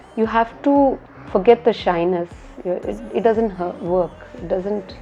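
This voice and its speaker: A woman's medium-pitched voice in a Tamil Indian accent, fairly slow pace, ordinary pitch variation, big swings in loudness, and music in the background. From India, Tamil-speaking. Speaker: architect. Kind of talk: interview. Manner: repeats words, hesitant fillers.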